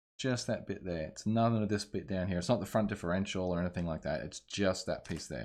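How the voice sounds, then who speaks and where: A man with an Australian accent varies his pitch in an ordinary way, the recording very clean and the background silent. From Australia (Ballarat, Victoria). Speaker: streamer. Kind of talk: live-stream repair tutorial. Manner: casual, thinking aloud.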